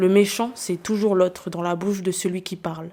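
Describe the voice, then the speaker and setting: A woman speaks with fairly even intonation. Her tone is dark and mellow. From New Caledonia (Nouméa). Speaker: podcast host. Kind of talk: scripted narration.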